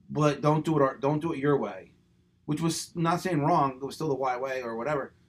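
This is an ordinary speaking voice. It has an American accent and fairly even intonation. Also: man, fairly high pitch for a man, fairly quick pace. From Pennsylvania, Levittown. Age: 50s. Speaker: running business owner and coach. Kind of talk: casual chat.

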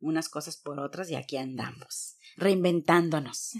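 Delivery holds a moderate pace. Pitch shifts in an ordinary way. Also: woman. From Mexico, Veracruz. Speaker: entrepreneur. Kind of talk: interview.

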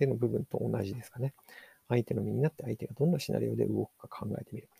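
A man's voice, dry and close with no echo. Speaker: podcast host, digital marketer. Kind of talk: solo book review podcast. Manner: halting, many fillers.

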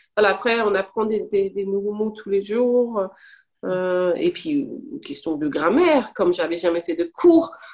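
A woman's voice at medium pitch, with lively intonation and a fairly slow pace. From Denmark. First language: Danish and English (speaking French). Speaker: language learner. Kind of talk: casual chat. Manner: halting.

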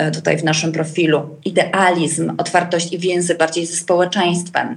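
A woman speaks at a fairly low pitch. Noticeable background noise is present. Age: 40s. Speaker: coach and trainer. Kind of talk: podcast interview. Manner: hesitant, many fillers.

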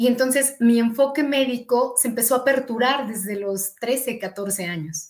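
Ordinary pitch variation at a fairly slow pace with hardly any pauses, on a very clean recording with a silent background. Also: woman, high pitch for a woman. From Mexico, eastern State of Mexico. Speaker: physician. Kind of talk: interview. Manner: hesitant fillers.

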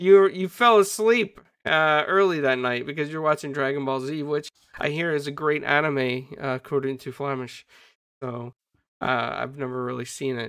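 On a very clean recording with a silent background, a man with a fairly high pitch and a normal speaking voice talks at a moderate pace, with ordinary pitch variation and big swings in loudness. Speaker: podcast host. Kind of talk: casual chat.

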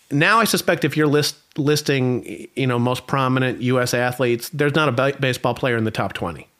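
This man has a fairly high pitch and an American accent. He speaks at a moderate pace with ordinary pitch variation. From United States. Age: 50s. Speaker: marketing professor. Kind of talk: interview. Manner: halting, frequent repetitions.

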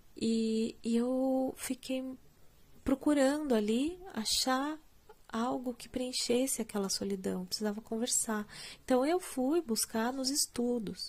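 A woman with a high pitch talks at a very slow pace. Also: ordinary pitch variation. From Brazil, Curitiba. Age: 30s. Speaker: music educator and podcast host. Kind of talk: solo podcast monologue.

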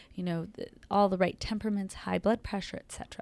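A woman with an American accent uses a normal speaking voice at a medium pitch, with ordinary pitch variation. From Los Angeles, US. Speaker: emergency physician. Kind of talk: interview. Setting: clinic.

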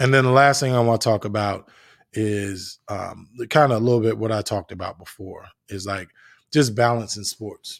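A plain, everyday voice with an American accent, fairly even intonation and big swings in loudness at a moderate pace on a very clean recording with a silent background. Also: man, medium pitch for a man. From New Jersey. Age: 30s. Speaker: podcast host. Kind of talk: casual monologue. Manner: relaxed, filler-heavy.

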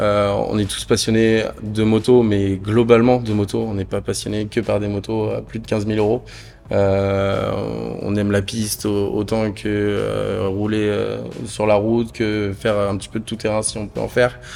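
A man's fairly low voice at a fairly slow pace, monotone and flat in intonation. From northern France. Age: 20s. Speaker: motorcycle dealership manager. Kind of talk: casual interview. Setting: dealership showroom. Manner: hesitant, many fillers.

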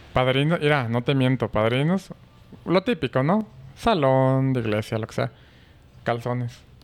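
A man with a Mexican accent speaks fairly slowly at medium pitch, with ordinary pitch variation, big swings in loudness and long, frequent pauses. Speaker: groom-to-be, brother of host. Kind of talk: casual chat.

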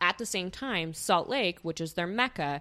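Someone speaks with an American accent in a bright, sharp tone. The background is quiet. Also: woman. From eastern Idaho. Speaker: polyamory discussion group founder. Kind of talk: casual chat.

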